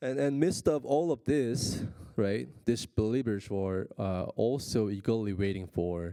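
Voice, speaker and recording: A man speaks with a non-native accent at a fairly slow pace. His fairly low pitch has a dark, mellow tone and lively intonation. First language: Korean. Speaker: pastor. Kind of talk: sermon. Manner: halting, many fillers.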